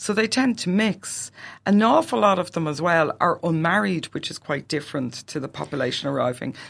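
In a very clean recording with a silent background, a woman with an Irish accent and a fairly low pitch speaks at a fairly quick pace with very wide pitch swings. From Ireland. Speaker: Irish studies professor and podcast host. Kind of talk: academic podcast discussion.

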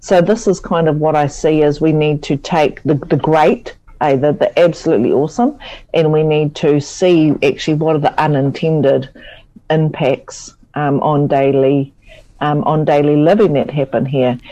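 A woman speaks in a New Zealand accent with a very deep, low pitch. Her tone is dark and mellow, with ordinary pitch variation. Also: moderate pace, very even loudness. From New Zealand, Taihape. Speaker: lecturer and researcher. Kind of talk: radio interview. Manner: hesitant, many fillers.

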